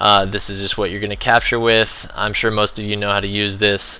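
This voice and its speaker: Bright and sharp in tone, a man speaks in a fairly low pitch with monotone, flat intonation. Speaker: gaming video tutorial creator. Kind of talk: tutorial. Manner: fast; casual with many filler words.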